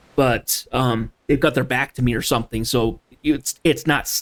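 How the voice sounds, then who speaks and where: The sound is dry and close with no echo, and the speech moves at a moderate pace. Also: man. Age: adult. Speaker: video game streamer. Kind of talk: casual gameplay chat. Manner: sometimes poorly enunciated.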